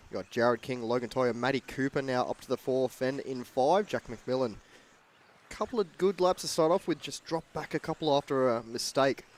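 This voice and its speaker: A man's fairly quick delivery in an Australian accent, with a dry, close sound and no echo. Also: medium pitch for a man, ordinary pitch variation. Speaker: RC racing commentator. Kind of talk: live race commentary. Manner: fast.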